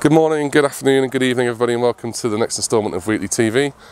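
Ordinary pitch variation in a medium-pitched male voice. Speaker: amateur cricket commentator. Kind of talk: sports commentary.

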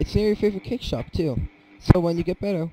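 With noticeable background noise but a dry sound with no echo, a man speaks at a high pitch. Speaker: gamer. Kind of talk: let's play commentary. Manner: casual, swearing. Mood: playful, jokey.

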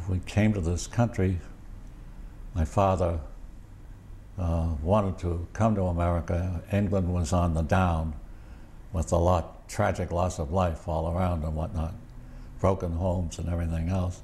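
Speaking at a fairly slow pace with long, frequent pauses, a man uses a low pitch, a dark, mellow tone and little pitch movement.

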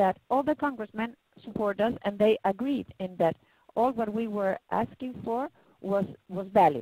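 A fairly high woman's voice in a Spanish accent, dark and mellow in tone. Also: dry sound with no echo. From Chile. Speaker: patient advocate. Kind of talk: webinar presentation. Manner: halting. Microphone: video call.

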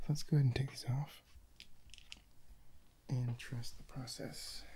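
Whispering at a very slow pace, a man speaks. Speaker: ASMR creator, film photographer. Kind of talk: ASMR video. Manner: mostly whispered. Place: home room. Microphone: studio mic.

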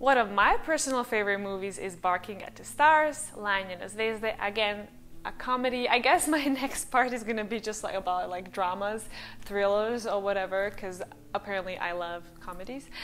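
With a Serbian accent, a woman speaks at a moderate pace with ordinary pitch variation and big swings in loudness. Light background noise is present. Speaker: language-learning youtuber. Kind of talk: casual vlog monologue. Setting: home recording with new microphone. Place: home room. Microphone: lapel.

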